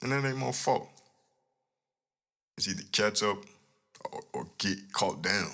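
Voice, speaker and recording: The voice is quiet, with a bright, sharp tone and lively intonation. It moves at a fairly slow pace with long, frequent pauses, in a very clean recording with a silent background. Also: man, fairly low pitch for a man. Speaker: podcast host. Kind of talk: casual monologue. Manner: low, quiet delivery; animated.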